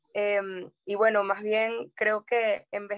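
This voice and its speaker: A woman speaks at a medium pitch with monotone, flat intonation. The sound is dry and close, with no echo. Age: 20s. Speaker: human rights lawyer. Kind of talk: interview. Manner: hesitant with fillers.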